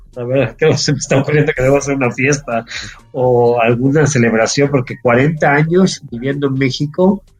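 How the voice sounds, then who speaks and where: Music in the background beneath a man's medium-pitched voice, moderate in pace, with ordinary pitch variation. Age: 50s. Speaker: entrepreneur, actuary. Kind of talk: interview.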